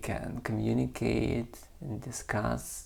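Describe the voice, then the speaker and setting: The speaker talks at a very slow pace in a non-native accent. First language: not English. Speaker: poet and channel host. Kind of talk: casual reflective talk to camera. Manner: halting, with fillers and restarts.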